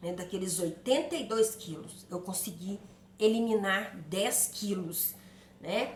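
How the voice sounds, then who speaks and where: A woman at medium pitch talks very slowly, with ordinary pitch variation and big swings in loudness. Audible room echo and noticeable background noise fill the recording. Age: 60s. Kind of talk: personal testimony. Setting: video to camera.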